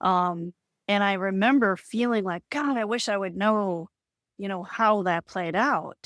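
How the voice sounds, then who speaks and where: With an American accent and an ordinary speaking voice, a woman speaks at a fairly slow pace, medium in pitch with ordinary pitch variation. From Boston area, Massachusetts. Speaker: spiritual healer. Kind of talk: podcast interview.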